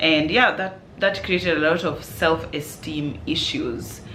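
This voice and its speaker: Through audible room echo and noticeable background noise, a woman with a very deep, low pitch speaks at a very slow pace. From Kenya, Nairobi. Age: 30s. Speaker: parenting vlogger and sleep coach. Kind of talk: casual Q&A vlog. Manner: loud.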